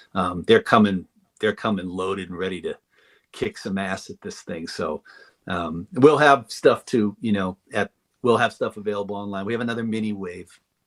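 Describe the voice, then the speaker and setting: Recorded with a dry, close sound and no echo, a man with a slight northeastern US accent talks at a moderate pace, fairly low in pitch, with ordinary pitch variation and big swings in loudness. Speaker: toy designer. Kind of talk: casual chat. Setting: live stream.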